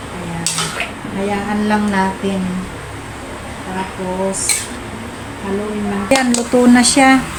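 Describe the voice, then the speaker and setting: Speaking at a very slow pace with long, frequent pauses, a woman keeps a fairly even intonation over noticeable background noise and audible room echo. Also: medium pitch for a woman. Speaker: vlogger. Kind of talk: cooking tutorial. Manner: casual.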